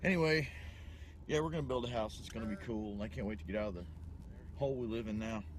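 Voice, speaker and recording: A man talks very fast with very wide pitch swings and a somewhat breathy voice. Long, frequent pauses break his speech, and the room echo is audible. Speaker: show host. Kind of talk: casual vlog-style chat.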